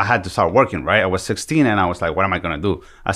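A man's very deep, low voice with a bright, sharp tone and a Spanish accent, very fast pace and lively intonation, on a very clean recording with a silent background. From El Salvador. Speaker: podcast guest.

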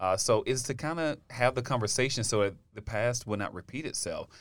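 Lively intonation marks this man's plain, everyday voice, delivered at a fairly quick pace with an American accent on a very clean recording with a silent background. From US South, Alabama. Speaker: university diversity office director. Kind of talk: casual chat.

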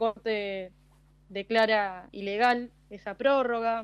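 In a plain, everyday voice, a woman talks at a fairly high pitch with fairly even intonation. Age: 20s. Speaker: international relations student and columnist. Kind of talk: radio commentary.

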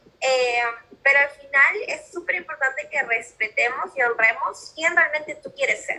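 A woman talks at a moderate pace in a high pitch with lively intonation. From Peru. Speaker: mentor and life coach, podcaster. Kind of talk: casual interview chat.

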